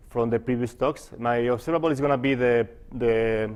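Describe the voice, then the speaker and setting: At a moderate pace, a man with a non-native accent and a medium pitch speaks with fairly even intonation. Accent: foreign. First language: not English. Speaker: physicist. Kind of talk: conference talk. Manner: halting, many fillers.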